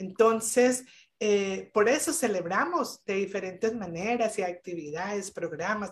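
A woman with a Colombian accent, medium in pitch, fairly slow, with ordinary pitch variation. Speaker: business owner. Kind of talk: live interview. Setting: video call.

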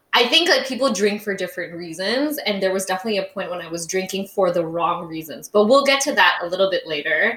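Over noticeable background noise, the speaker talks at a very fast pace with hardly any pauses. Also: woman, medium pitch for a woman. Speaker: podcast co-host. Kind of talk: casual chat, English-Indonesian code-switching. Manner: animated.

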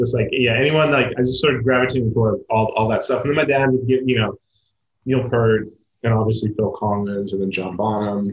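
With an American accent, a somewhat breathy man speaks at a fairly quick pace and fairly even intonation. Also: medium pitch for a man. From US Midwest, Kansas City. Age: 40s. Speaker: drummer and tour manager. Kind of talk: casual chat.

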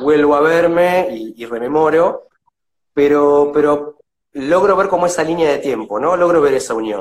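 A man, fairly high in pitch, at a fairly slow pace, with an unremarkable speaking voice. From Buenos Aires, Argentina. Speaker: visual artist and art teacher. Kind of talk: casual interview. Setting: video call.

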